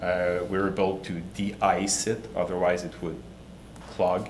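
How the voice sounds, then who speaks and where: Male speech at a moderate tempo with audible echo from the room. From Quebec City, Canada. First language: French. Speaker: startup CEO. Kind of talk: pitch presentation. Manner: halting, many repetitions.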